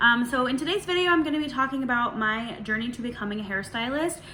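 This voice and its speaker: A high female voice at a very fast pace, with ordinary pitch variation and noticeable background noise. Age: 30s. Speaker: hairstylist and video creator. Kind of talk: casual Q&A vlog. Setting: at home in dining room. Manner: relaxed, many filler words.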